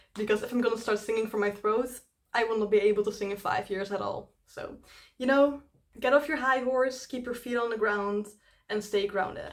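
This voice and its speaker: Fairly high in pitch, a woman speaks with a Dutch accent. Her pace is fairly quick and her intonation fairly even. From Netherlands. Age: 20s. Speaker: YouTube cover singer. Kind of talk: casual Q&A chat to camera.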